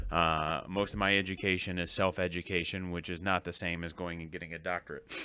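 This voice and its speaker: Heard on a very clean recording with a silent background, a man speaks at a fairly quick pace in a bright, sharp tone. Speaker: podcast host and gaming store owner. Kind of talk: casual solo podcast talk.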